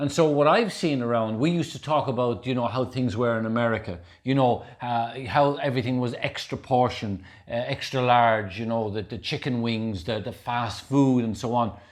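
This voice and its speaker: A man with an Irish accent speaks at a moderate pace and medium pitch, with ordinary pitch variation and hardly any pauses. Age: 60s. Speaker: health and wellness speaker, ultra marathon runner. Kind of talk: casual chat. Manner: animated.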